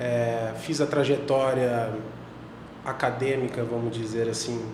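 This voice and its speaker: Amid audible room echo and noticeable background noise, a man talks very slowly in a monotone, flat intonation. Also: medium pitch for a man. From Brazil, Paraná (Londrina). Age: 30s. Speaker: intensive care doctor. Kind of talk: podcast interview. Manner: hesitant, repeats words.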